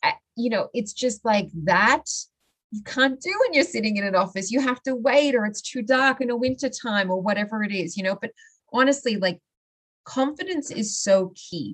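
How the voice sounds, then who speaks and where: In an Australian accent, a woman with a fairly high voice speaks at a moderate pace with lively intonation. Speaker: mindset coach. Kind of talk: casual interview.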